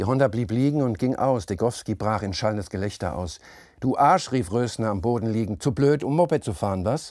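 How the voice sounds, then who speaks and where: Against a quiet background, a man with an unremarkable speaking voice talks at a moderate pace and medium pitch with lively intonation, the sound dry with no echo. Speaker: author reading his own novel. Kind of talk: literary audiobook reading, narrated third-person prose with voiced dialogue. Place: studio.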